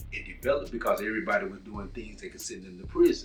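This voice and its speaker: Over music in the background, a man with a Southern US accent talks at a very fast pace. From Texas. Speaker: self-development teacher. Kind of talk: lecture. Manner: conversational, with false starts.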